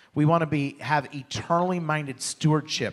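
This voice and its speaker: On a very clean recording with a silent background, a man with a normal speaking voice talks at a fairly quick pace in a fairly high pitch. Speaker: church pastor. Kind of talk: church announcement. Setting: church.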